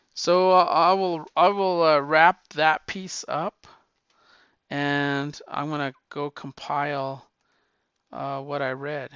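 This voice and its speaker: Speaking at a very slow pace, a man with a fairly high pitch keeps a fairly even intonation while his loudness swings widely. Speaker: comic book podcast host. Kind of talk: casual solo talk. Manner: hesitant with many fillers.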